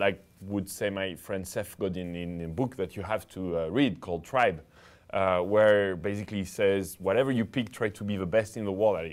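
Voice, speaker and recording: At a fairly quick pace, a man talks with a French accent. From France. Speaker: entrepreneur and social media advice host; social media advice host. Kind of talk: tutorial. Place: studio. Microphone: lapel.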